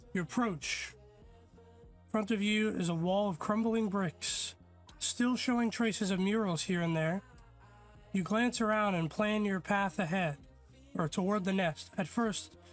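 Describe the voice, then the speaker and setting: This man has a high pitch and speaks at a fairly slow pace with ordinary pitch variation. Music plays in the background. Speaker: gaming streamer. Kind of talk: reading in-game story text aloud with live reactions.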